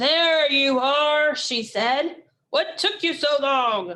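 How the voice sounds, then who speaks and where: A put-on character voice at a very slow pace. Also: woman, high pitch for a woman. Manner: stern.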